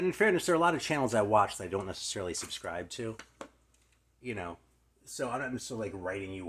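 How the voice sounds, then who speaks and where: The speech comes very fast and mumbled, with lively intonation and big swings in loudness. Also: man. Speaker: music YouTuber. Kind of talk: casual vlog talk. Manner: mumbling.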